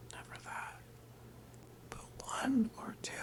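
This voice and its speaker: Someone whispers at a fairly slow pace. There is noticeable background noise. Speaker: ASMR creator. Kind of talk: sleep story reading. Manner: soft-spoken.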